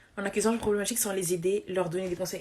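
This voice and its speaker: The woman's voice sits at a medium pitch. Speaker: social media influencer. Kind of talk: livestream rant. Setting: live stream. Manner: fast; halting, repeating words.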